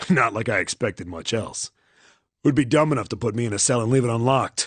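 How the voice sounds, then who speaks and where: In a dry, close recording with no echo, a man puts on a raspy character voice at a medium pitch and talks at a very fast pace. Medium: fan dub. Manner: gruff, halting.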